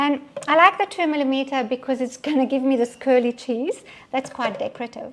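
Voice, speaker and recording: Fairly quick speech from a woman with a high-pitched voice. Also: ordinary pitch variation. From Belgian Congo and Belgium, Italian parents. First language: French. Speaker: cooking demonstrator. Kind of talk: live cooking demonstration. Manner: casual, with frequent fillers.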